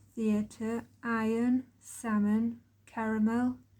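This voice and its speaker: In an East Midlands accent, a woman speaks at a very slow pace. Her pitch is fairly high. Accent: East Midlands English (Derbyshire). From Chesterfield, Derbyshire, England. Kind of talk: casual talk to camera.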